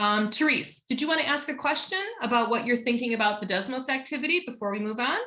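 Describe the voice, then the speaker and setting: A loud woman's voice with a bright, sharp tone and lively intonation. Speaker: teacher trainer. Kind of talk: online workshop presentation. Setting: video call.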